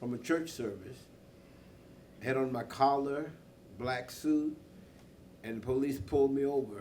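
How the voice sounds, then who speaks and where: Audible room echo surrounds a man speaking at a fairly slow pace, his medium-pitched voice dark and mellow in tone with fairly even intonation. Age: 70s. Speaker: political candidate, clergyman. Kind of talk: candidate forum debate.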